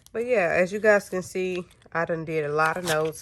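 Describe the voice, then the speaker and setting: A woman speaks at a fairly slow pace with ordinary pitch variation. She has a normal speaking voice and a fairly low pitch. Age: 30s. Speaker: GED student and single mother. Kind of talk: casual talk to camera.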